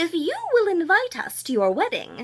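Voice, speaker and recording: A put-on character voice with very wide pitch swings, delivered at a moderate pace. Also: woman, extremely high pitch for a woman. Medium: read story. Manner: speaking as one, earnest.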